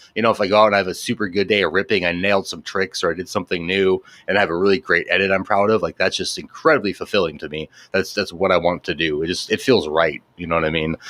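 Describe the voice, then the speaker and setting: A man talks at a very fast pace in a very deep, low pitch, his tone animated, bright and sharp. His pitch varies in an ordinary way, and the sound is dry and close with no echo. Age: 40s. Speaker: FPV drone pilot. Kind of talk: live stream interview. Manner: casual, animated.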